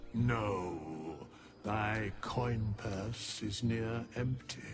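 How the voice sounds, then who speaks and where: A man's put-on character voice, fairly low in pitch and very slow, with clear background noise. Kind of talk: archaic formal speech. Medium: video game. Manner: slow, cryptic, archaic.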